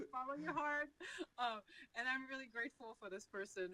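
Speaking with a French Canadian accent, a woman moves at a fairly quick pace with lively intonation. Her tone is bright and sharp, and the sound is dry and close with no echo. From Quebec, Canada. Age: 40s. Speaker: financial advisor. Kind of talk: interview.

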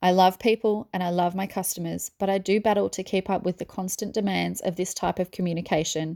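In an Australian accent, a woman talks at a fairly quick pace with hardly any pauses, her medium-pitched voice dark and mellow in tone and flat and monotone in intonation, in a very clean, dry, close recording with no echo and a silent background. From Melbourne, Australia. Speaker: small business owner, earring maker. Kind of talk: reading aloud an interview Q&A.

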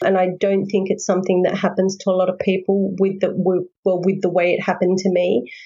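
Speaking at a fairly quick pace with hardly any pauses, a woman has an Australian accent. Her voice is somewhat breathy, and her intonation is monotone and flat. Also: medium pitch for a woman, very even loudness. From Sydney, Australia. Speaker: author. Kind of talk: interview.

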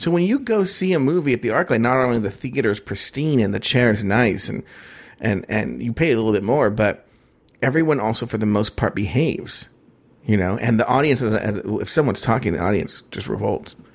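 At a fairly quick pace, a man speaks at medium pitch with lively intonation. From Mexican-American. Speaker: podcast co-host. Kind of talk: casual chat. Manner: smacks lips often.

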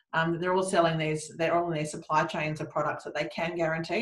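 This woman speaks with an Australian accent. Her pitch is fairly low. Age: 40s. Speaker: recruitment business owner. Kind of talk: interview.

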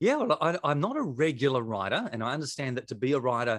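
A man speaks with an Australian accent. He talks at a fairly quick pace. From South Australia. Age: 40s. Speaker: pastor and author. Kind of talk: interview. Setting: video call. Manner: fast talker.

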